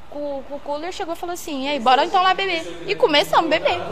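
Over noticeable background noise, a woman projects a raised voice at an extremely high pitch with lively intonation. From São Paulo state interior, Brazil (Jaguariúna/Holambra). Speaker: podcast guest. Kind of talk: casual chat.

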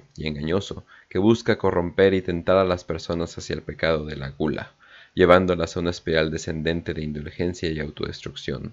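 Speaking fairly fast, a man's very deep, low voice keeps a fairly level intonation. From northern Mexico. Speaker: podcast host. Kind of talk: casual chat; reading aloud. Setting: livestream.

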